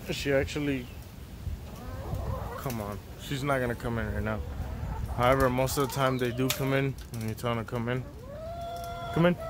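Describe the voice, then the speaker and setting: Noticeable background noise behind a man's moderate-paced speech. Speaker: vlogger. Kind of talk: casual talk to camera. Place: garden. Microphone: phone near.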